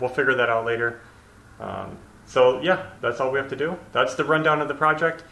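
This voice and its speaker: Talking at a fairly quick pace, a man shows ordinary pitch variation. There is audible room echo. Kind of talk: casual vlog chat. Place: empty room. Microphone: camera far.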